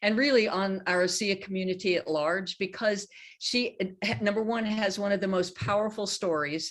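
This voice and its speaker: A woman with a plain, everyday voice, fairly high in pitch, at a moderate pace. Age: 60s. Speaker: horse trainer. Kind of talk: casual chat.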